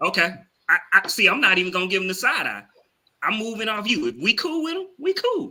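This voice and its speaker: A man with a strong Southern US accent speaks in a raised, projected voice at a high pitch. His delivery is fairly quick, with very wide pitch swings. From US South. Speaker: podcast co-host. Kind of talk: casual chat.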